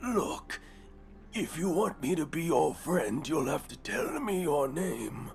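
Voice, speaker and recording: Over clear music in the background, a man does a raspy, put-on character voice at a high pitch, speaking at a fairly slow pace. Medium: video game. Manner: evasive, terse.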